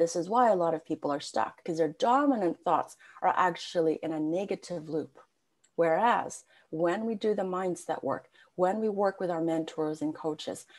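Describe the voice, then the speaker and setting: A woman talks at a moderate pace in an unremarkable speaking voice. Her pitch is fairly low, and her intonation is lively. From Canada. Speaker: spiritual coach. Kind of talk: podcast interview. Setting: video call.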